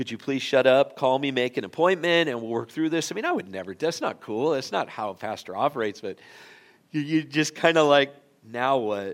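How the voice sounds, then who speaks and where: With a plain, everyday voice, a man speaks fairly quickly at a fairly high pitch, his intonation lively. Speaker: pastor. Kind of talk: sermon. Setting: church.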